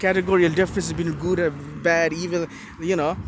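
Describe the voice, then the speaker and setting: Noticeable background noise sits behind a man who speaks at a moderate pace in a high pitch, with ordinary pitch variation. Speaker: solo video blogger. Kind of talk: impromptu monologue. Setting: walking while recording. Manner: halting, many fillers and restarts.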